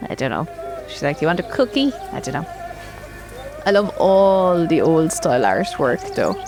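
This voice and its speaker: With an Irish accent, a woman speaks at a moderate pace with long, frequent pauses while music plays in the background. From Ireland. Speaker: gaming video creator. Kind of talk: let's play commentary. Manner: casual, chatty.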